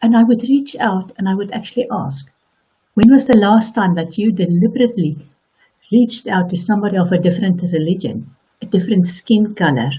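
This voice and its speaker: Speaking with a South African accent, a woman talks at a fairly quick pace in a medium-pitched, somewhat breathy voice with ordinary pitch variation. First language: Afrikaans. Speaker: online coach. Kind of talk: motivational talk.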